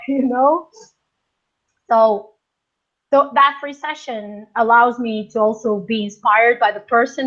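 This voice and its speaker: A woman speaks in a Portuguese accent at a high pitch. Her pace is fairly slow, with ordinary pitch variation. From Portugal. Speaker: life coach. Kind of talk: interview.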